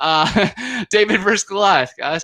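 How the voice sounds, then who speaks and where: A man's animated voice with ordinary pitch variation. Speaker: Bigfoot researcher and author. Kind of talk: podcast interview. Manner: animated, casual with many fillers.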